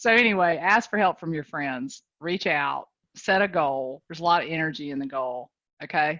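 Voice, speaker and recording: A woman with a Southern US accent speaks at a moderate pace with a very deep, low pitch. Her intonation is lively, and her loudness swings widely. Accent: sweet Southern. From North Carolina. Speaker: real estate coach. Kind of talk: motivational talk on video call. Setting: video call. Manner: animated.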